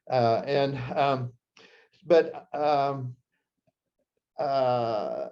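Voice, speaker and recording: A man speaks at a medium pitch with a Midwestern US accent. His tone is dark and mellow. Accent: US Midwest. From Nebraska. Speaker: psychiatrist and author. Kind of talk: talk to an audience, personal storytelling. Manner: halting, many fillers.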